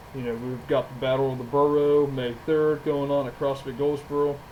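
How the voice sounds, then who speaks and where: A man's fairly high-pitched, monotone voice with flat intonation, set against noticeable background noise. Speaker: gym owner and trainer. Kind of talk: podcast monologue.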